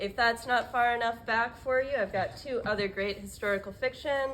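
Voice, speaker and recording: Here a woman is speaking. Her pace is moderate. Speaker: bookseller. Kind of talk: product presentation. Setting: bookstore open to customers. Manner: loud.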